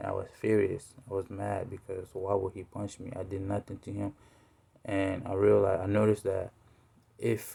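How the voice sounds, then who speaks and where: A man with a West African accent speaks in a dark, mellow, somewhat breathy tone with monotone, flat intonation. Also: fairly low pitch for a man, moderate pace. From Togo, West Africa. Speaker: student speaker. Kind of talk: narrative speech, personal story. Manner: halting, many fillers.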